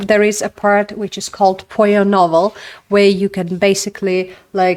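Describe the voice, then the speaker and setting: A woman's medium-pitched voice in a Russian accent, flat and monotone, at a moderate pace. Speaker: narrative game designer. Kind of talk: casual talk. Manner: hesitant, many fillers.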